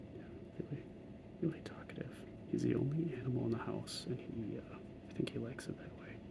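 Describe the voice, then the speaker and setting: A man whispering at a fairly quick pace, with long, frequent pauses and noticeable background noise. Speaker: hobby miniature painter. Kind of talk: casual talk while painting miniatures. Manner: soft-spoken.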